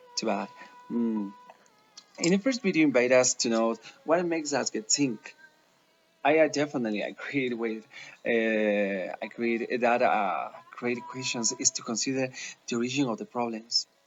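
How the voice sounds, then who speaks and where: Music plays behind this speaker, who talks at a moderate pace with ordinary pitch variation and long, frequent pauses. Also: man, medium pitch for a man. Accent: Spanish. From Ecuador, Quito. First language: Spanish. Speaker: language student. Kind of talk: class assignment presentation. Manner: halting, many fillers.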